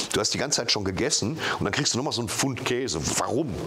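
Very fast speech over light background noise. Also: man. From Dortmund, Germany. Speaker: comedian. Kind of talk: interview answer. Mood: relaxed, joking. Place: home room. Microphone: lapel.

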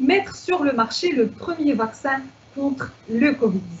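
A woman talks at a very slow pace with lively intonation. There is light background noise. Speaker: event moderator. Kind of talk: moderated Q&A. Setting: video call. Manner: formal. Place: home room. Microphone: earbuds.

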